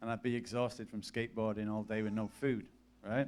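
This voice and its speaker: This is a man talking. His accent is English. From northern England, Cumbria (Lake District, near Barrow). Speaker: preacher, mission worker. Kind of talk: sermon with personal testimony. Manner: casual, many fillers.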